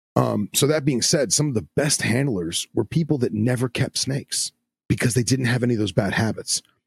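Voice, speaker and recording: Vocal fry from a man at medium pitch, a fairly quick pace, ordinary pitch variation and very even loudness, with a dry, close sound and no echo. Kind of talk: casual chat. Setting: video call. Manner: rambling, long-winded.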